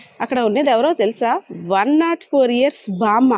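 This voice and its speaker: The speaker's intonation is lively, with noticeable noise behind the voice. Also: woman. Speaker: interviewer. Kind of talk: introduction to camera.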